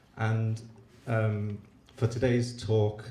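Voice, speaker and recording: A man is speaking. Room echo can be heard. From UK. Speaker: company executive. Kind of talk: panel discussion.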